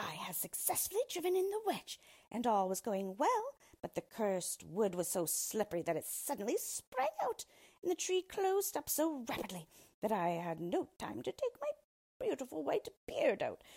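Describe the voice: In a put-on character voice, a woman uses a fairly high pitch with very wide pitch swings, a slightly mellow tone, a slightly husky edge and vocal fry. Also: moderate pace.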